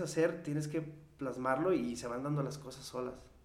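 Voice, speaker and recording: A man speaks at a moderate pace with fairly high pitch. There is audible room echo and noticeable background noise. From Mexico, rural ranch upbringing. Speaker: singer-songwriter. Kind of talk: casual chat.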